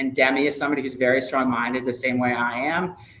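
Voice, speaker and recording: Over noticeable background noise, a man speaks fairly quickly at a medium pitch with monotone, flat intonation. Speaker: sports ticket sales manager. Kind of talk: interview. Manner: loud; casual, filler-heavy.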